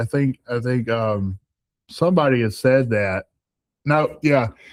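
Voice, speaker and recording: This man talks at a very slow pace. He has a Southern US accent. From US South. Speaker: truck driver. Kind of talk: casual chat. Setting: studio. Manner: halting.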